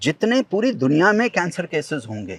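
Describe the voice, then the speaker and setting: A man speaks with vocal fry and very wide pitch swings. The sound is dry and close, with no echo. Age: 50s. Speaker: environmental activist, tree planter. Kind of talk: interview conversation. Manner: animated.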